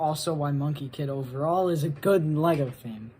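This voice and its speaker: The woman's voice is somewhat breathy. Her tone is dark and mellow. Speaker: guest contributor to video essay. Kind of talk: casual video segment.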